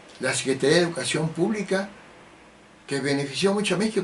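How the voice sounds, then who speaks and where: This man's voice sits high in pitch. He uses lively intonation. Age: 70s. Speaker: political commentator. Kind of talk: political monologue.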